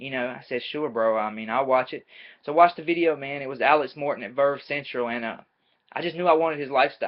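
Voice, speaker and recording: A man with a Southern US accent, talking at a very fast pace. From US South, North Carolina. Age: 20s. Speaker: amateur MMA fighter and student. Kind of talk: casual webcam vlog. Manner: casual, energetic.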